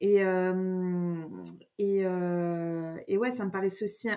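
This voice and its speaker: The woman's voice has a dark, mellow tone. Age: 30s. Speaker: astrologer. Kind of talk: casual chat. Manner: mannered; halting.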